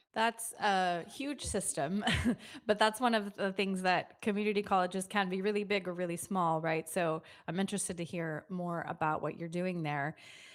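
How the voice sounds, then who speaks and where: On a very clean recording with a silent background, a woman speaks at medium pitch and a moderate pace in an unremarkable speaking voice with ordinary pitch variation. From United States. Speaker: podcast host. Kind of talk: interview.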